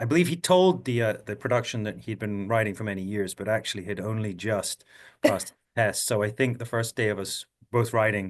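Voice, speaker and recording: A fairly low-pitched man with a Scottish accent, ordinary pitch variation and a quiet background. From Scotland. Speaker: actor. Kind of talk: interview answer.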